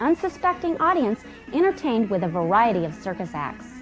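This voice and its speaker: With music in the background, a woman talks at a moderate pace, her fairly high voice swinging very widely in pitch. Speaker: presenter. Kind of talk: infomercial product presentation.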